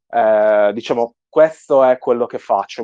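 A man speaks very slowly with a strong Sardinian accent. His medium pitch sounds dry and close, with no echo. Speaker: 3D artist. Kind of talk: interview.

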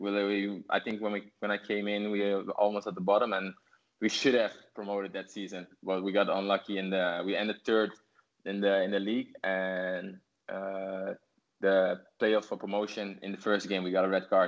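With a Dutch accent, a man talks in a fairly low pitch and a monotone, flat intonation. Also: moderate pace. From Netherlands. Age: 30s. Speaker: professional footballer. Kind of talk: interview. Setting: video call. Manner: halting.

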